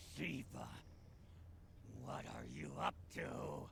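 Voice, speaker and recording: A man talks in a put-on character voice. Background noise is clearly audible. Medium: video game. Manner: urgent, commanding.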